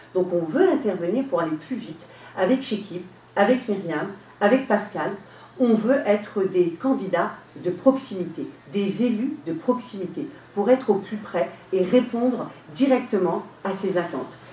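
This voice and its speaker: Pausing long and often, a woman speaks at a fairly slow pace with medium pitch and lively intonation against noticeable background noise. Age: 50s. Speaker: local election candidate. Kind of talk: radio interview. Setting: radio studio, live.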